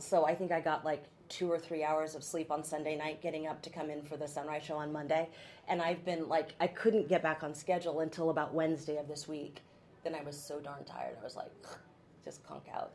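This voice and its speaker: Her loudness swinging widely, a woman with a West Coast US accent speaks in a very deep, low pitch with monotone, flat intonation. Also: fairly quick pace. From Oregon, US Pacific Northwest. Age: 50s. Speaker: TV news anchor. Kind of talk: casual chat.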